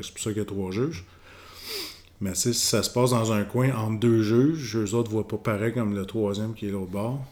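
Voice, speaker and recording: Fairly low-pitched male speech, moderate in speed, intonation fairly even. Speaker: retired boxer. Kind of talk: casual interview.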